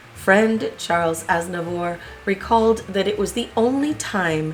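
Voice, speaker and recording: A woman with a medium pitch and ordinary pitch variation talks against noticeable background noise. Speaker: history video host. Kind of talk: biography narration.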